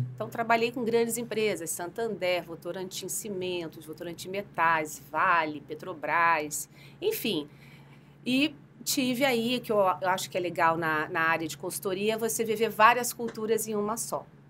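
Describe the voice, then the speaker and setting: A woman talks at a fairly slow pace with lively intonation and a bright, sharp tone. The recording is very clean, with a silent background. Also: medium pitch for a woman. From Brazil, Rio de Janeiro. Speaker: HR executive, psychologist. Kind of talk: podcast interview. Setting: podcast studio.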